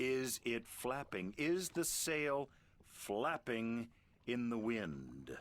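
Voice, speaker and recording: A man puts on a gruff character voice at medium pitch, talking very slowly with lively intonation. His loudness stays very even throughout. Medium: video game. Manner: sarcastic, gruff.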